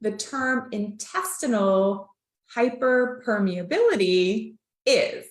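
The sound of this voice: A woman talks at a slow pace with lively intonation and a medium pitch. Her voice carries an audible room echo.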